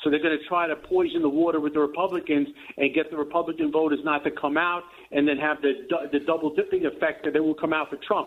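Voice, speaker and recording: Talking at a very fast pace, a man uses a fairly high pitch and monotone, flat intonation. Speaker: caller. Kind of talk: phone-in call. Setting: phone call.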